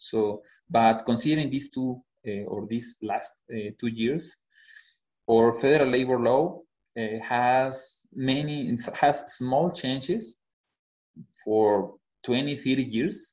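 A man with a Spanish accent speaks at a very slow pace and a medium pitch, with ordinary pitch variation and long, frequent pauses. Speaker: HR consultant. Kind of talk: webinar presentation. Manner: halting, many fillers.

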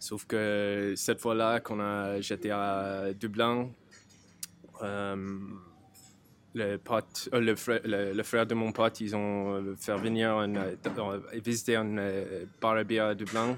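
Very slow speech in an English accent, monotone and flat, with long, frequent pauses. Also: man, fairly low pitch for a man. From rural Ireland. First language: English (speaking French). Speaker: brewer. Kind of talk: casual chat. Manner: halting.

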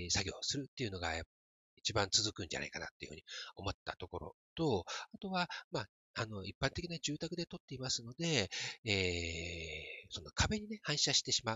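At a fairly quick pace, a man speaks at medium pitch. His pitch swings are very wide. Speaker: podcaster, metaverse photographer. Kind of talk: solo podcast talk. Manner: hesitant, many fillers. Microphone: smartphone plug-in mic.

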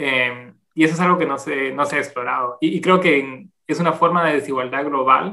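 A man's bright, sharp tone at a fairly high pitch, with ordinary pitch variation and a moderate pace. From Guatemala City. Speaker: anthropologist and demographer. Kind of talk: interview. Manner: halting.

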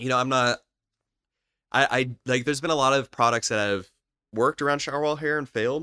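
A man's bright, sharp voice at a fairly quick pace, dry and close with no echo on a very clean recording with a silent background. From Florida, Lakeland. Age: 30s. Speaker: entrepreneurship educator. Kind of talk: casual interview.

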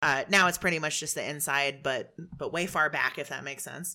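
This is a woman speaking. Her tone is bright and sharp. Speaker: podcast host. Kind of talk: casual chat. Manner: animated; fast talker.

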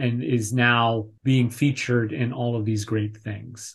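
Against a quiet background, a man with a somewhat breathy voice speaks at medium pitch and a fairly slow pace. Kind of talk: casual chat. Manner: animated.

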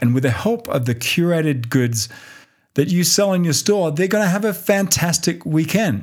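A man with an American accent, animated tone and lively intonation at a moderate pace, on a very clean recording with a silent background. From Australia. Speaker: podcast host and online course seller. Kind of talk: solo podcast monologue, motivational business talk. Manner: conversational, direct, animated.

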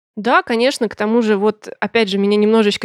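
Heard with a dry, close sound and no echo, a woman with a plain, everyday voice talks fairly quickly at a medium pitch with fairly even intonation. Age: 30s. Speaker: software tester, former PR specialist. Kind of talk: interview.

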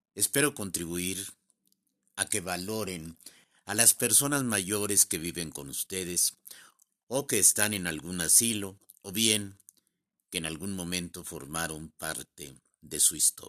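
Pausing long and often, a man speaks at a very deep, low pitch in a bright, sharp tone with ordinary pitch variation, on a very clean recording with a silent background. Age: 70s. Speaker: poet. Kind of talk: poetry reading.

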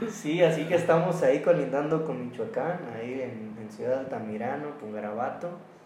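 Over noticeable background noise and audible room echo, a man with a fairly high voice talks at a moderate pace with hardly any pauses, lively intonation and big swings in loudness. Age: 20s. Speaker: podcast host, student. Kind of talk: casual chat.

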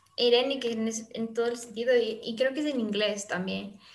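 The intonation is monotone and flat. Room echo can be heard. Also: woman. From Ecuador, Quito. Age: young. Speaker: youth service club member. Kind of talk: casual interview chat.

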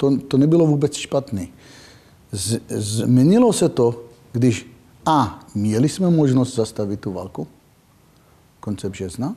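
A somewhat breathy man's voice, dark and mellow in tone, at a very slow pace with long, frequent pauses. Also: medium pitch for a man, lively intonation. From Israel. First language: not Czech (speaking Czech). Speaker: security expert. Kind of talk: interview. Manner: halting.

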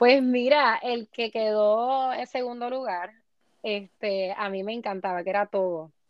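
A woman speaks in an unremarkable speaking voice at a fairly slow pace. Her pitch is fairly high, with ordinary variation. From Puerto Rico. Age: 20s. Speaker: beauty pageant contestant. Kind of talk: interview.

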